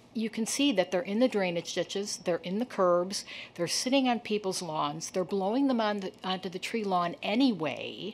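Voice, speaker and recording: In an ordinary speaking voice, a woman talks at a moderate pace and medium pitch, with ordinary pitch variation and hardly any pauses. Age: 60s. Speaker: resident speaking at public comment. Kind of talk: public comment at city council meeting. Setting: city council chamber.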